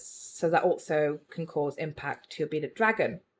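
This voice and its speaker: A woman in a British accent talks at a fairly slow pace with ordinary pitch variation, in a very clean recording with a silent background. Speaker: reptile keeper and video creator. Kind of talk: tutorial.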